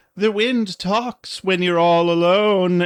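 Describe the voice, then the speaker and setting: Over a quiet background, a man uses a put-on character voice, high in pitch and very slow in pace. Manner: creepy, eerie.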